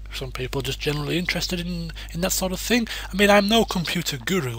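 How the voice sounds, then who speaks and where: Noticeable background noise is present. Over it, a man talks at a very fast pace. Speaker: gaming YouTuber (let's plays). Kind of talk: casual channel update. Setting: home desk recording. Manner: rambling, hesitant with fillers.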